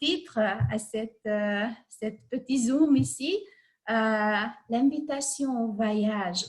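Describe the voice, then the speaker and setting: Very slowly, a woman with a Hungarian accent speaks in a fairly high, somewhat breathy voice with ordinary pitch variation. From Hungary. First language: Hungarian (speaking French). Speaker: life coach. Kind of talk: online talk. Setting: video call. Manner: halting.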